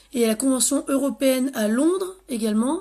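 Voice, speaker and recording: Recorded very cleanly over a silent background, a woman with a high pitch speaks at a moderate pace with ordinary pitch variation. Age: 30s. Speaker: nail technician and beauty sales rep. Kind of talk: live-stream sales pitch. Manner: casual, hesitant.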